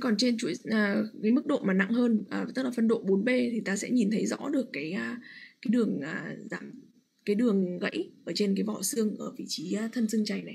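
A woman at a moderate pace, fairly high in pitch, with vocal fry and ordinary pitch variation. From Vietnam. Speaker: radiologist. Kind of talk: lecture. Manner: halting with frequent fillers. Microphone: video call.

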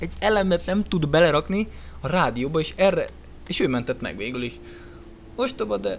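Long, frequent pauses break up the man's otherwise fairly quick pace. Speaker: gaming youtuber. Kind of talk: let's play commentary. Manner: casual, animated.

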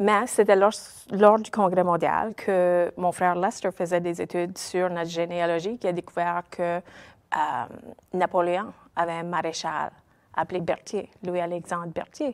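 A woman speaks at a fairly slow pace in a fairly low pitch, her intonation fairly even against a quiet background. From Nova Scotia, Cape Breton, Petit-de-Grat (Acadian); Nova Scotia. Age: 50s. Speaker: Acadian web series creator. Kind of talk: interview. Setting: studio. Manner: hesitant, many fillers. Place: studio.

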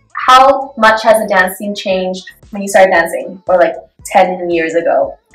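A woman speaks at a moderate pace with ordinary pitch variation, audible room echo and a quiet background. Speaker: interviewer, dance club member. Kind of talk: casual interview questions. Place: meeting room.

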